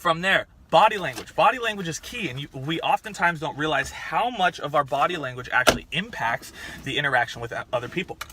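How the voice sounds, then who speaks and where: A man speaks loudly at a fairly quick pace, his pitch high for a man. His intonation is lively. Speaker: fitness coach. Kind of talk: tutorial.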